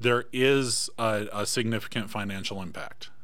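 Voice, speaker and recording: In an audible room echo, a man with an American accent talks at a fairly slow pace and a medium pitch. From Michigan. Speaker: school board candidate. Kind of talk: political debate. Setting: studio.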